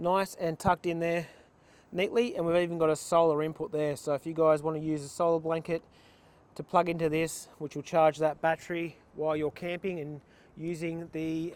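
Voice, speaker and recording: A high-pitched man with an Australian accent at a moderate pace, in a dry, close sound with no echo. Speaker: vehicle builder / workshop owner. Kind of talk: walkaround tutorial. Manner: casual with fillers.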